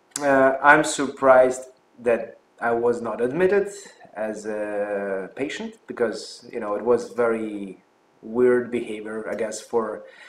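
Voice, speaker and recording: At a very slow pace, a man talks with a medium pitch and ordinary pitch variation. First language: Russian. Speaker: physician and health channel host. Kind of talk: personal story vlog. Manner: hesitant with fillers.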